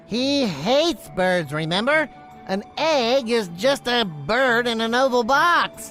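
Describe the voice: A cartoonish character voice with fairly high pitch speaks fairly slowly over clear music in the background.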